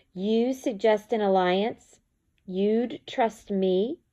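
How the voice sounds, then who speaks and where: A woman puts on a character voice, pitched fairly high and spoken very slowly against a quiet background. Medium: read story. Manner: sly, arrogant.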